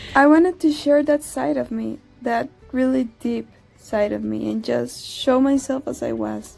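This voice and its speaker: A woman with a Costa Rican accent speaks at a very slow pace over noticeable background noise. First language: Spanish. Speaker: vlogger. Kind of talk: casual vlog narration.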